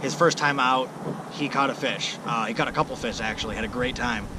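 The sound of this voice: With clear background noise behind him, a man talks at a fairly quick pace and a medium pitch. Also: ordinary pitch variation.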